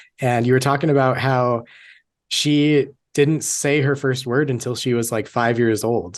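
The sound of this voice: A man talks at a medium pitch and a fairly slow pace. His intonation stays fairly even.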